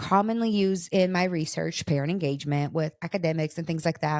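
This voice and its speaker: A woman with lively intonation, in a dry, close sound with no echo. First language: Portuguese. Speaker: podcast host, parenting researcher. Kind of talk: casual chat.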